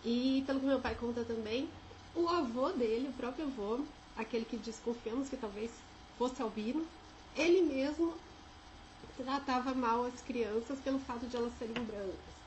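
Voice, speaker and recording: Speaking in a São Paulo accent over noticeable background noise, a woman uses a high pitch with ordinary pitch variation. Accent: São Paulo (paulistano). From Brazil, São José dos Campos (São Paulo state interior). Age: 30s. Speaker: vlogger sharing life experience. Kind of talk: personal testimony. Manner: casual, with filler hesitations.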